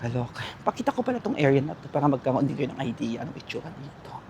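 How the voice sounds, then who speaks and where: A man talks at a very fast pace with a fairly high pitch. Noticeable background noise runs behind him. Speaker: vlogger. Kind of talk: walking vlog voice-over. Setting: outdoors at night, walking. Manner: casual, chatty.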